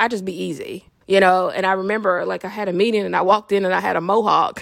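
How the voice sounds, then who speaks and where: In an animated tone, a woman speaks at a moderate pace. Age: 30s. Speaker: psychic medium and life coach podcaster. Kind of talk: motivational monologue.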